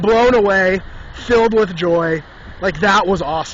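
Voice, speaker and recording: A man's animated tone comes through despite noticeable background noise. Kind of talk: casual storytelling monologue. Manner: fast.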